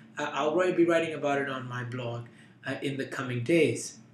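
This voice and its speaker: Audible room echo and noticeable background noise surround the voice. The pace is moderate. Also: man. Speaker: political commentator, blogger. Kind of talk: explanatory commentary to camera.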